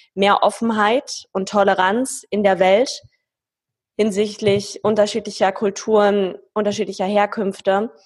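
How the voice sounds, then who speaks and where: A woman speaks at a medium pitch and a fairly slow pace, her intonation monotone and flat. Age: 20s. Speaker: business executive. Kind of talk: interview.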